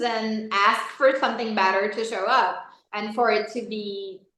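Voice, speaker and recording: In a non-native accent, a woman speaks with a fairly high pitch and bright, sharp tone amid audible room echo. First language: not English. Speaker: life coaching facilitator. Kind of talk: interview.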